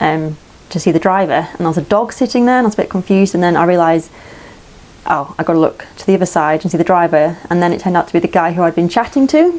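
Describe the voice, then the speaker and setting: A woman speaks with an English accent at a very fast pace. Her pitch variation is ordinary. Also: fairly low pitch for a woman. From England. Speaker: vlogger, hiker and traveller. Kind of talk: casual storytelling. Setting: indoors by a wood stove in a tiny house.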